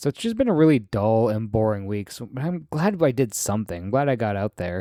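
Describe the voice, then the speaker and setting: A man with an American accent has a dark, mellow tone. The sound is dry and close with no echo, in a very clean recording with a silent background. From Michigan Upper Peninsula. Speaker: podcast host. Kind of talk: casual monologue. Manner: rambling, filler-heavy.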